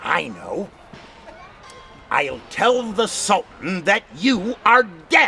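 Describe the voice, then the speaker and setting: Using a put-on character voice, a man talks at a high pitch and a very slow pace, with long, frequent pauses. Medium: read story.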